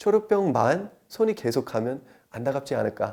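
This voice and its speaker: A man with an English accent and very wide pitch swings. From United States. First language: English (speaking Korean). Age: 30s. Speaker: traditional liquor sommelier. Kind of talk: interview.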